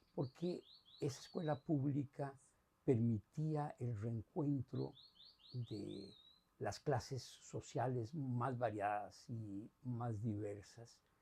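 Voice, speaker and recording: In a Costa Rican accent, the speaker talks at a very slow pace with a dark, mellow tone, a somewhat breathy quality, and ordinary pitch variation. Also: man, medium pitch for a man. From Costa Rica, San José. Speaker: retired academic. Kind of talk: interview testimony. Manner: hesitant, many filler sounds.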